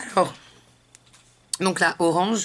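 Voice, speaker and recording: A woman at medium pitch speaks with fairly even intonation. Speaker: beauty vlogger. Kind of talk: makeup tutorial. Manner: hesitant, many fillers.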